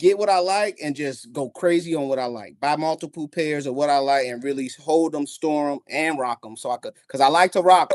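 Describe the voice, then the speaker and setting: A man with an American accent talks at a fairly quick pace in a plain, everyday voice, with ordinary pitch variation. The sound is dry and close with no echo, over a quiet background. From Gary, Indiana, Midwest US. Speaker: podcast guest, sneaker collector. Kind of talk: casual interview chat.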